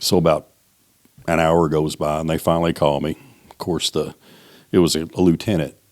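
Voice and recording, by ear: The pace is moderate and there is little pitch movement. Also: man, extremely low pitch for a man.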